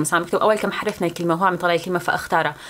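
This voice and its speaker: A woman with a Syrian accent speaks at a fairly low pitch. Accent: Levantine Arabic (Syrian). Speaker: YouTuber, student. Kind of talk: casual vlog talk to camera.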